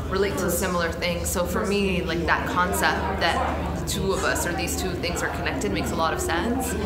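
Loud background noise surrounds a woman who speaks at a fairly quick pace. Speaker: poet. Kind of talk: interview answer. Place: home room. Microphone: lapel.

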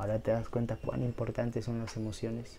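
The voice has a dark, mellow tone over light background noise. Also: man. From Peru. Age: 20s. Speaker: YouTuber, medical student. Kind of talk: motivational talk to camera. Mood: warm, encouraging. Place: home room. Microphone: lapel.

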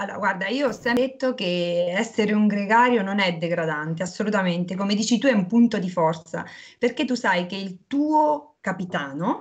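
A somewhat breathy woman's voice over a quiet background. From Abruzzo, central Italy. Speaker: retired professional cyclist; interviewee. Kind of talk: casual interview. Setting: video call. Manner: animated. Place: kitchen. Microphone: video call.

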